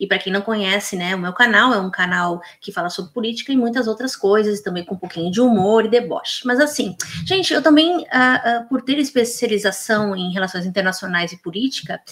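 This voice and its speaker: A woman speaks at a fairly quick pace with a fairly high pitch. Her intonation is lively. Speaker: political commentator. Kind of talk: reaction video commentary. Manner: fast; halting, with fillers.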